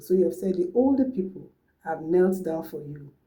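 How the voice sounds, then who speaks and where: Audible room echo surrounds the voice. A woman speaks with a dark, mellow tone. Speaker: language teacher. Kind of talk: tutorial.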